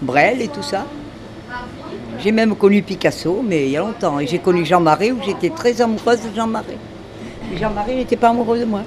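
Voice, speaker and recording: A woman with a medium pitch speaks at a moderate pace with lively intonation. Long, frequent pauses break her speech amid noticeable background noise. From southwestern France, Hautes-Pyrénées near Lourdes. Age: 80s+. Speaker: retired telephone operator, neighbourhood resident. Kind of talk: casual interview chat.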